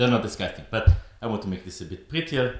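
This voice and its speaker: A man with lively intonation and audible room echo. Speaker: maker vlogger. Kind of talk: casual vlog chat. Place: workshop. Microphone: phone near.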